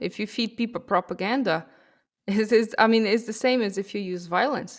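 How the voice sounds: A woman at a medium pitch and moderate pace, with ordinary pitch variation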